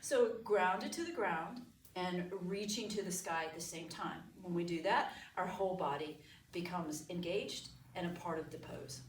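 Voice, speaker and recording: A woman speaks at a fairly low pitch and a moderate pace, with ordinary pitch variation. Noticeable background noise and audible room echo surround her voice. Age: 60s. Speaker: yoga teacher. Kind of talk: guided yoga instruction.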